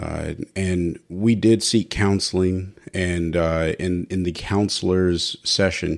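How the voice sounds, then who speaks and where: A man speaks very slowly in a very deep, low voice with fairly even intonation. The recording is very clean, with a silent background. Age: 30s. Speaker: marriage podcast host. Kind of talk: solo podcast monologue.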